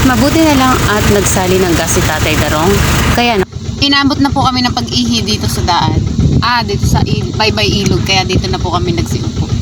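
The pace is fairly quick, with very wide pitch swings but very even loudness. Audible room echo and noticeable background noise sit behind the voice. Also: woman, medium pitch for a woman. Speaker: travel vlogger. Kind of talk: vlog narration.

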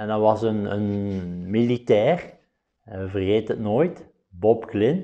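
A man with a Belgian Limburg accent speaks at a very slow pace. His fairly low voice has a dark, mellow tone. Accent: Flemish (Limburg) Dutch. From Belgium, Flanders (Limburg). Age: 50s. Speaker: professional billiards player. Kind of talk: interview monologue. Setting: studio. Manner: halting, many filler sounds.

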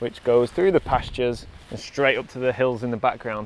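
Speaking at a moderate pace, a man is heard in a dry sound with no echo. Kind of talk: casual vlog chat. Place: open country. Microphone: phone near.

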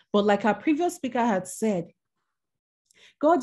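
Against a quiet background, a woman speaks at a moderate pace. Her tone is dark and mellow and somewhat breathy. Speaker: minister and women's mentor. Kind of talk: sermon. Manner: halting.

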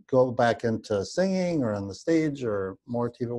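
Over a quiet background, a man with a dark, mellow tone speaks at a medium pitch with lively intonation. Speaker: interview show host; interviewer. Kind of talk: interview. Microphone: video call.

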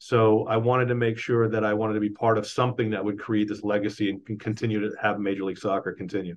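Talking very fast with hardly any pauses, a man with an American accent keeps a monotone, flat intonation at a fairly low pitch. Light background noise sits behind him. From Texas (Dallas); Texas. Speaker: former pro soccer player and league executive. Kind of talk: interview; interview answer. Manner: halting, with repeated words. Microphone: video call.

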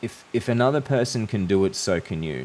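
With light background noise, a man speaks with an Australian accent. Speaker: YouTuber. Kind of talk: monologue to camera. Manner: hesitant, with fillers. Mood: calm, thoughtful. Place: home room. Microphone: studio mic.

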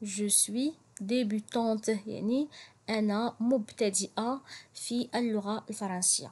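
The speaker has a Moroccan accent, a somewhat breathy sound and ordinary pitch variation. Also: woman. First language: Moroccan Arabic (speaking French). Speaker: French teacher. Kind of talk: language tutorial. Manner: slow, repetitive.

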